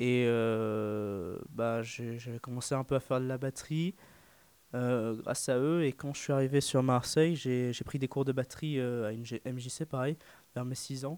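A man's medium-pitched, ordinary speaking voice, fairly slow and fairly even in intonation, in a dry, close sound with no echo. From northern France. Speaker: drummer, student. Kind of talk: radio interview. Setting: studio.

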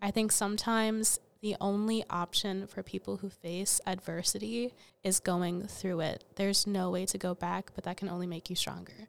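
A woman's medium-pitched voice at a moderate pace, with fairly even intonation and a plain, everyday voice. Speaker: student podcast co-host.

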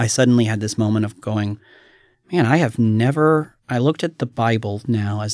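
This man has an unremarkable speaking voice and an American accent, with a medium pitch. He moves at a fairly quick pace with ordinary pitch variation. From US South. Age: 30s. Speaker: youth pastor. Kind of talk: testimony.

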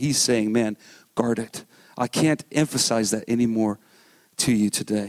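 This is a man's voice. The sound is dry and close, with no echo. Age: 30s. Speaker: pastor. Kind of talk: sermon. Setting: church. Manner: animated.

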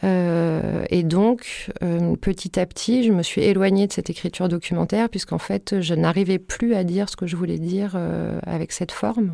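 A very clean recording with a silent background, a woman talking at a moderate speed. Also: hardly any pauses. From southern France. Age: 40s. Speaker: photographer. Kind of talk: casual chat. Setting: studio. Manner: halting, many fillers and repetitions.

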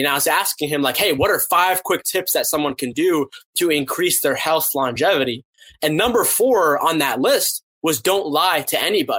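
Speaking at a fairly quick pace with an American accent, a man has a high pitch, a bright, sharp tone and ordinary pitch variation. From US East Coast, Boston, Massachusetts. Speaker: podcast host and author. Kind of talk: interview conversation.

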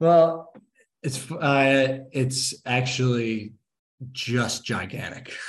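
His delivery is very slow. The man's intonation holds fairly even. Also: medium pitch for a man. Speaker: painting company field manager, endurance athlete. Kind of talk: interview. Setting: video call. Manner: stuttering.

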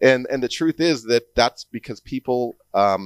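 With a Canadian accent and ordinary pitch variation, the voice comes through a very clean recording with a silent background and a dry, close sound with no echo. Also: man. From Alberta, Canada. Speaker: painter and arts event organizer. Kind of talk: interview conversation. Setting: studio. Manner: halting, many repeated words.

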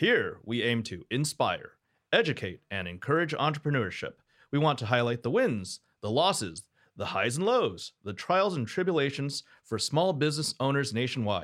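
In a very clean recording with a silent background, a man with a fairly high pitch uses vocal fry and very wide pitch swings. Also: moderate pace. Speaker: podcast host. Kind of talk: interview.

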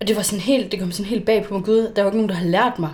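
A woman with a medium pitch and ordinary pitch variation speaks in a plain, everyday voice. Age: 20s. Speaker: social worker and coach. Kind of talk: casual chat.

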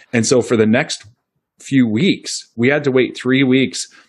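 This is a man speaking. He talks with a US Midwestern accent. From central Iowa, US Midwest. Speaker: dentist and practice owner. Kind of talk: interview conversation.

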